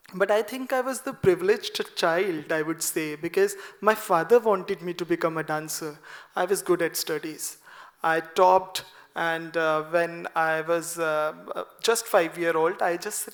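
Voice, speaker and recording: With a Punjabi accent, a soft-spoken man with a high pitch talks at a moderate pace with ordinary pitch variation. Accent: Indian English, Punjabi. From Punjab, India. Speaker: classical dancer. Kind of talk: seminar talk. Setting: auditorium with audience.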